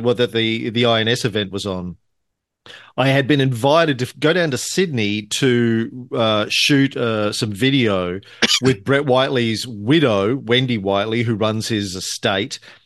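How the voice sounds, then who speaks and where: Against a quiet background, a man in a normal speaking voice talks fairly slowly at a medium pitch with ordinary pitch variation. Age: 50s. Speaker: podcast host. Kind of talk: casual chat.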